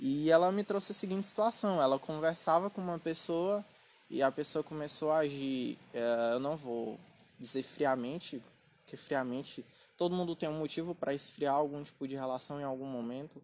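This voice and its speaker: In a normal speaking voice, a man with a fairly high pitch talks at a moderate pace, his pitch varying in an ordinary way. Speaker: podcast host and writer. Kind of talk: casual chat.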